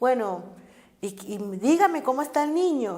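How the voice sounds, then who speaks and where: Noticeable noise sits in the background. Through it, a woman talks fairly slowly. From Caribbean Colombia, Cartagena. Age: 50s. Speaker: social activist. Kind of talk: life story interview. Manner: halting, with many fillers and repetitions.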